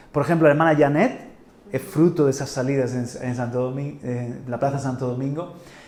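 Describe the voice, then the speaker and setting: A man speaks in an animated tone, with audible room echo around him. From Spain, Murcia. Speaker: pastor. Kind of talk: sermon. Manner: halting, many repetitions.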